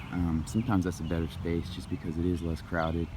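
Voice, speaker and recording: A man speaks quietly at a fairly quick pace, his pitch very deep and low. Noticeable background noise runs beneath him. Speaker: vlogger. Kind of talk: walking tour vlog. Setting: outdoors in a park. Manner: quiet, talking low.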